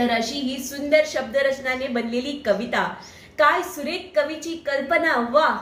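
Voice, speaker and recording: Through noticeable background noise, a woman with a high voice speaks with ordinary pitch variation. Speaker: poet. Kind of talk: casual talk to camera.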